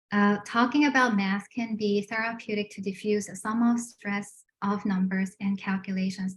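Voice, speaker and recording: The voice is somewhat breathy. Its intonation stays monotone and flat. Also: woman. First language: not English. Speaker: adult education math instructor presenting. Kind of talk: online presentation. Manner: halting, many fillers.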